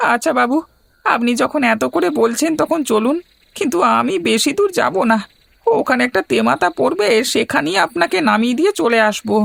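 A cartoonish character voice comes at a moderate pace with very even loudness. The sound is dry and close, with no echo. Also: man, extremely high pitch for a man. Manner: respectful, calls the passenger "babu"; fearful, hushed.

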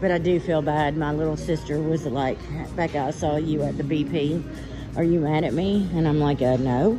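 The speaker talks at a moderate pace while clear music plays in the background. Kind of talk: casual vlog chat. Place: shop. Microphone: phone near.

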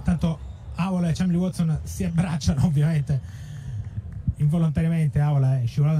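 Fairly quick and somewhat breathy, a man speaks at a fairly high pitch. His tone is dark and mellow. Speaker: fencing commentator. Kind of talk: live sports commentary. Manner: fast, rattling off scores in a steady flow; excited, with a tone that rises at key touches.

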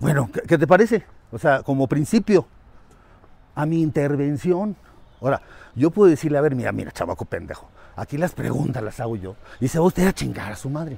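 A man with a fairly high pitch talks at a fairly quick pace, using very wide pitch swings and big swings in loudness, broken by long, frequent pauses. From Mexico City. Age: 60s. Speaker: teacher. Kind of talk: casual interview. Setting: outdoors, walking.

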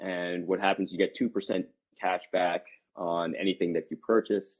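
Against a quiet background, a man with an American accent talks at a moderate pace. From central New Jersey. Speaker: neurologist. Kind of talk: casual interview. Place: office. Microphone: video call.

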